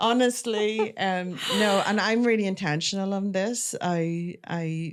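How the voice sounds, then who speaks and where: A woman with an Irish accent at a very slow pace. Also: medium pitch for a woman, ordinary pitch variation. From Ireland, near the north-south border. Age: 40s. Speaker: author and publisher. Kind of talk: podcast interview.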